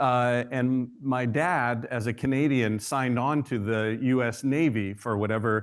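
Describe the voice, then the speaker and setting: Medium-pitched male speech with very even loudness, fairly even intonation and hardly any pauses, over a quiet background. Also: fairly slow pace. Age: 50s. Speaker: professor. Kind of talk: lecture. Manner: halting, many fillers.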